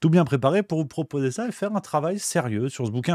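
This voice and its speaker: Against a quiet background, a man talks at a fairly quick pace with lively intonation in a dry sound with no echo. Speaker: political commentator / streamer; political commentator streamer. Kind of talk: book review on a live stream. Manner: casual, joking. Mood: ironic, sceptical. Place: home room. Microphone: studio mic.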